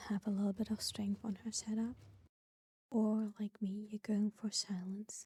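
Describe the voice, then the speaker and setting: Someone is whispering. Music plays in the background. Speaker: vtuber gamer. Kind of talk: gaming commentary to stream. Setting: home setup, not a proper microphone. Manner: whispered.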